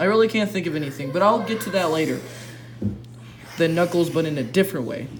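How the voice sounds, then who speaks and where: High-pitched male speech at a very fast pace, lively in intonation, broken by long, frequent pauses, over noticeable background noise. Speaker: YouTuber reacting to fan fiction. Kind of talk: reading aloud with commentary. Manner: stuttering.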